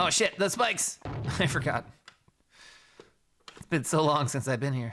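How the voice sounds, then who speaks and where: With an American accent, a man talks at a moderate pace in a fairly high pitch, his tone animated and his pitch swinging very widely. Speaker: video game streamer. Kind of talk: live stream commentary. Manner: casual, animated.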